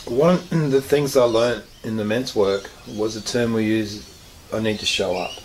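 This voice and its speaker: With an Australian accent, a man talks at medium pitch and a moderate pace with ordinary pitch variation. Noticeable background noise is present. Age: 60s. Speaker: counsellor. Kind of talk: interview.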